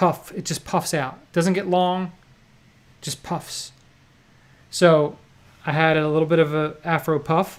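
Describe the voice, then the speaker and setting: On a very clean recording with a silent background, a man with an American accent speaks in a fairly high, monotone, flat voice with long, frequent pauses. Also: fairly slow pace. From New Jersey. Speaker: poker vlogger and livestream host. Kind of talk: casual chat. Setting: livestream.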